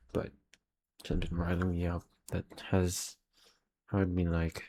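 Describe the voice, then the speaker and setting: Flat, monotone intonation at a fairly slow pace, broken by long, frequent pauses. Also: man. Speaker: aspiring filmmaker vlogger. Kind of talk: casual video diary. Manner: halting.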